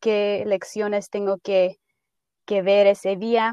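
The sound is dry and close with no echo. A woman speaks at a very slow pace. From Idaho, raised by Mexican parents (born in Guanajuato). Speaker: optometry student. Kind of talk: interview.

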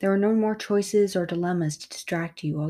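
Someone reads aloud in a natural voice. Pitch varies in an ordinary way.

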